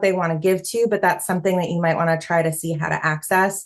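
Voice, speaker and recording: Here a woman talks at a fairly quick pace with a medium pitch. It is an ordinary speaking voice. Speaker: fundraising consultant. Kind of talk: online workshop presentation.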